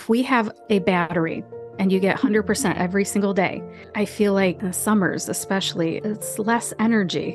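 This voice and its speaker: Over music in the background, a woman with an American accent talks at medium pitch and a fairly quick pace, with ordinary pitch variation. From Ohio, USA. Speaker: pharmacist and voice actor. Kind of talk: podcast interview answer.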